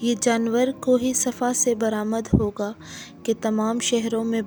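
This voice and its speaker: A woman's fairly high, monotone, flat voice over music in the background. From Pakistan. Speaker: voice over artist. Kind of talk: religious story narration.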